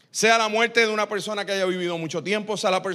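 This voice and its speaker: Raised and projected, this man's high-pitched voice has a bright, sharp tone. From Puerto Rico. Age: 40s. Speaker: pastor. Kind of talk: sermon.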